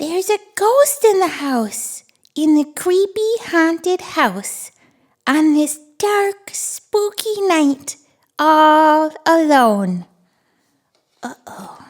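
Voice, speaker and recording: A cartoonish character voice, high in pitch, moves at a very slow pace with long, frequent pauses. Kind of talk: children's read-aloud. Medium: puppet. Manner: upbeat, excited, playful.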